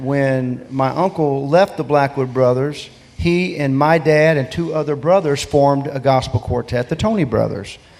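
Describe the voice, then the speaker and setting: Over noticeable background noise, a man with an American accent talks at a moderate pace and fairly high pitch, with ordinary pitch variation and hardly any pauses. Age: 60s. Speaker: gospel singer. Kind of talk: interview.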